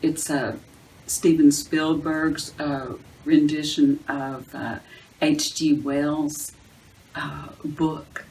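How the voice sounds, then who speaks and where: Against noticeable background noise, the voice holds a monotone, flat intonation. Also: woman. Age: 60s. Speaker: video blogger on bipolar wellness. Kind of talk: casual monologue to camera. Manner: halting, many fillers.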